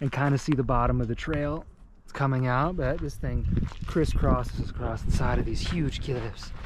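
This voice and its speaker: Audible room echo fills the space around a man. His delivery is fairly quick, and his intonation stays fairly even. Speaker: travel vlogger. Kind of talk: outdoor vlog narration. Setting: outdoors on a hiking trail.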